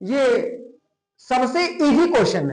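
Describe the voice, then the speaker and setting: With lively intonation, a man speaks at an extremely high pitch. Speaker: general knowledge teacher. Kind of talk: exam-prep lecture. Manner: casual, colloquial.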